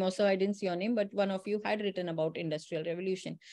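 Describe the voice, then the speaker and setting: Her pace is fairly quick and her pitch medium. The woman keeps a fairly even intonation. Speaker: teacher educator giving a session. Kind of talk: online lecture. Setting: online session. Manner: fast; passionate.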